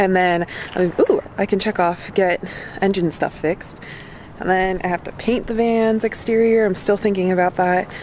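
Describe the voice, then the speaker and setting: Intonation stays fairly even at a moderate pace. Noticeable background noise runs underneath. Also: woman, medium pitch for a woman. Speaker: van life vlogger. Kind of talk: casual vlog chat. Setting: warehouse.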